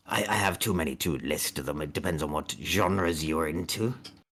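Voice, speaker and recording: At a moderate pace, someone performs a raspy, put-on character voice. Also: man, very deep, low pitch for a man. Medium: actual play. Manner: courteous, shopkeeperly.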